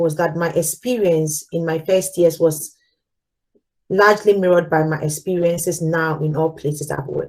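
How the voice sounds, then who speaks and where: In a Ghanaian accent, the speaker talks at a moderate pace with ordinary pitch variation. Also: woman. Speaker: corporate manager giving a talk. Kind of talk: live talk with slides.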